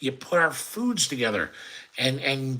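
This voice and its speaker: Over noticeable background noise, a man with an American accent and a fairly high pitch speaks at a fairly slow pace. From Chicago area, US Midwest. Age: 50s. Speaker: cooking channel host. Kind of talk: live stream Q&A chat. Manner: animated.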